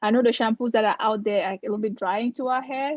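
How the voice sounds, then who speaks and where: A woman with an African accent speaks at a fairly high pitch with fairly even intonation. The sound is dry and close, with no echo. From Cameroon. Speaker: dermatologist. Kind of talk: live presentation Q&A. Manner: conversational.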